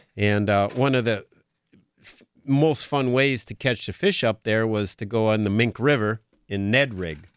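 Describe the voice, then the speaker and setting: A man with an American accent talks at a fairly slow pace, medium in pitch with ordinary variation. He has a plain, everyday voice, and the background is quiet. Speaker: outdoors radio co-host. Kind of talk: casual radio chat. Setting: radio studio.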